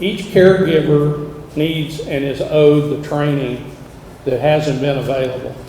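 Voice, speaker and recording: Over noticeable background noise and audible room echo, a man talks at a fairly slow pace in a fairly high voice with fairly even intonation. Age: 60s. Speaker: senior living company founder. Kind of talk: public speech.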